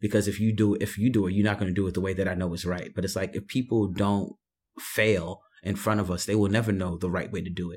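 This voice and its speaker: A man with a New York accent talks at a very fast pace and fairly low pitch, somewhat breathy and with monotone, flat intonation, on a very clean recording with a silent background. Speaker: writer and artist. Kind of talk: casual conversation. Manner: reflective, hesitant with fillers.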